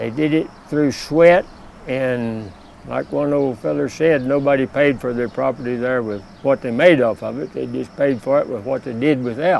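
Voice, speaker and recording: A man with a Texas accent speaks at a fairly slow pace and medium pitch, with ordinary pitch variation and long, frequent pauses. Noticeable background noise runs behind him. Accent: rural Texan. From Texas, Hill Country near Austin. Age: 80s+. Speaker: retired border patrol officer. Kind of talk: personal life story interview. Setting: outdoors. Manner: halting, with many uh pauses.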